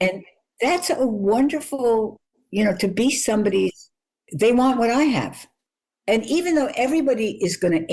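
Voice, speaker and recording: Against a quiet background, a woman with a fairly high pitch speaks in a dark, mellow tone with vocal fry. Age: 80s+. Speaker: journalist and author. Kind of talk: interview answer.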